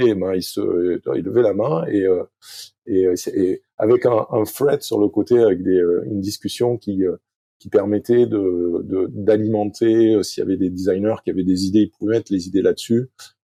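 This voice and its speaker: A man's fairly low pitch and dark, mellow tone at a moderate pace, in a dry, close sound with no echo. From southwest France (Arcachon basin). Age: 50s. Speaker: sailing coach. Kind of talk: podcast interview. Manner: halting, many fillers.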